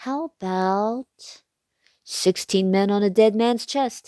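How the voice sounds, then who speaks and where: A female-sounding voice in a put-on character voice growls gruffly at medium pitch and a very slow pace. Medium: read story. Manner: gruff, blustery.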